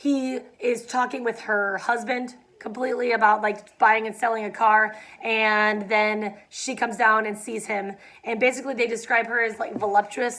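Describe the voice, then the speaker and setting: Using a put-on character voice, a woman speaks at a moderate pace in a raspy, fairly high-pitched voice with monotone, flat intonation. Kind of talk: casual student read-aloud with commentary. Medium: read story. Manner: casual, conversational asides.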